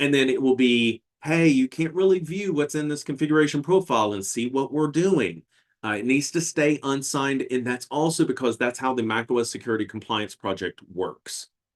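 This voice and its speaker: Here is a man with a plain, everyday voice and a fairly high pitch. He talks at a fairly quick pace over a quiet background. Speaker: tech presenter. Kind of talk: webinar demo with audience Q&A.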